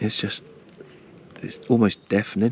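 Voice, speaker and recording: A man with an English accent, moderate pace and ordinary pitch variation. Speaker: fishing vlogger. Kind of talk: casual vlog narration. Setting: outdoors at a campsite.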